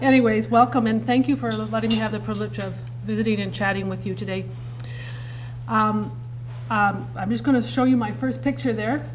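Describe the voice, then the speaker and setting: A woman talks at a fairly quick pace, with long, frequent pauses. Audible room echo and noticeable background noise surround her. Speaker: counsellor. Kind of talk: presentation. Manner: fast.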